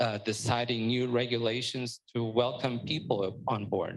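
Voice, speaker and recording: A man with a Portuguese accent speaks at a very slow pace. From Portugal. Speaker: startup panelist. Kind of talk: panel discussion.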